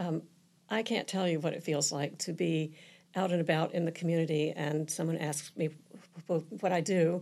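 A woman with an American accent speaks in an unremarkable speaking voice at a moderate pace and a fairly low pitch. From Virginia peninsula, US. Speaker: nonprofit co-founder and board member. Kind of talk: interview. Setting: studio.

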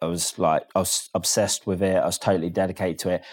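The recording is very clean, with a silent background. A man talks at a fairly quick pace in a fairly low, monotone voice with flat intonation. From Cambridgeshire, eastern England. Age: 40s. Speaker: chef. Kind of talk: interview.

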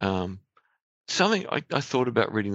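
A man talks with an Australian accent against a quiet background. The sound is dry and close, with no echo. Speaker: podcast host. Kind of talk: interview. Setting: studio.

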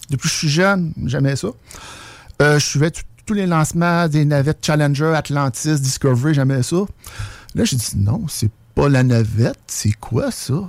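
A man speaks in a fairly high, somewhat breathy voice. His pace is fairly slow. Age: 40s. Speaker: UFO witness. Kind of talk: testimony.

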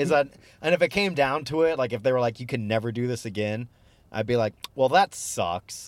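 A man speaks at a fairly quick pace with lively intonation and a medium pitch. His is a plain, everyday voice. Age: 30s. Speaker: stand-up comedian. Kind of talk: casual chat.

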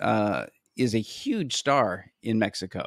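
On a very clean recording with a silent background and a dry, close sound without echo, a man speaks with lively intonation. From Canada. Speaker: podcast co-host. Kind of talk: casual chat. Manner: halting, many fillers.

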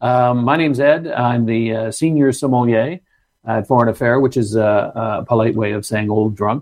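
With a normal speaking voice at a medium pitch, a man speaks at a moderate pace and keeps his intonation fairly even. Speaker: sommelier. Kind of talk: casual interview chat.

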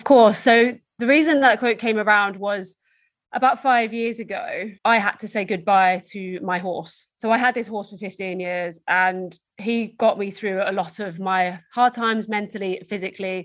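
A woman with an Essex accent at a moderate pace, with big swings in loudness. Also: medium pitch for a woman, ordinary pitch variation. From Essex, England. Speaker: motivational speaker and endurance athlete. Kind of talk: casual interview chat.

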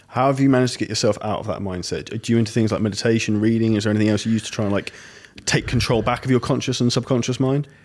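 A very fast man with a British accent, medium pitch and fairly even intonation. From Britain. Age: 30s. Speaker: podcast host. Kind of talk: interview.

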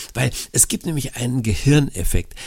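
At a moderate pace, a man is talking. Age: 60s. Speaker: podcast co-host, life-simplification expert. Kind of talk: casual chat. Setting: remote connection.

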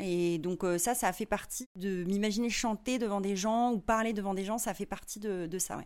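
A woman talks in a plain, everyday voice, keeping a moderate pace and ordinary pitch variation. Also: very clean recording, silent background. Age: 30s. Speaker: singer-songwriter and visual artist. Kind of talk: interview. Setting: in person at her home studio.

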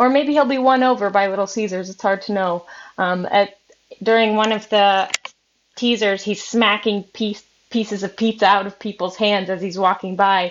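Her voice is a plain, everyday voice: a woman at medium pitch, moderate pace and fairly even intonation. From Minnesota. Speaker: news reporter. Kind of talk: casual chat.

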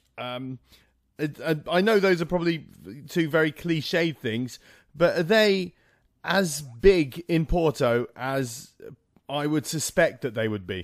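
Speaking at a very slow pace with long, frequent pauses, a man uses lively intonation and a fairly high pitch. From Malta. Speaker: podcast host and comedian. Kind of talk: casual interview. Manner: animated.

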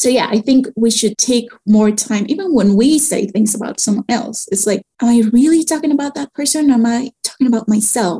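A woman speaks in a normal speaking voice at a fairly high pitch. Her pitch variation is ordinary, and the sound is dry and close with no echo. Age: 30s. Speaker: writer and screenwriter. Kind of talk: interview conversation.

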